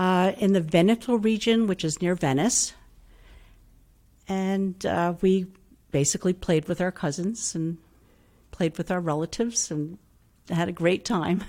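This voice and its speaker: With an upstate New York accent, a woman speaks in a dark, mellow tone at a medium pitch and a fairly slow pace, her pitch varying in an ordinary way, with long, frequent pauses. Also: very clean recording, silent background. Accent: US Northeast (upstate New York). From Hudson, New York, US. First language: Italian. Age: 60s. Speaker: retired language teacher. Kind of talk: interview.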